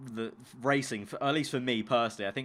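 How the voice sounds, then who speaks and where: With a London accent, a man of medium pitch talks at a fairly quick pace and keeps his intonation fairly even. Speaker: YouTuber and esports commentator. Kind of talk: casual chat. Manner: fast.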